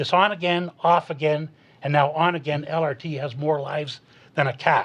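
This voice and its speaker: Somewhat breathy, a man talks at a fairly quick pace in a fairly high voice with ordinary pitch variation. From Canada, Hamilton Ontario. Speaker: municipal election candidate. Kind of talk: prepared opening statement in debate.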